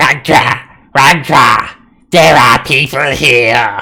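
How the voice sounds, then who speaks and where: A man puts on a raspy, hissing character voice at medium pitch and drags it out at a very slow pace. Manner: hissing, eager announcement.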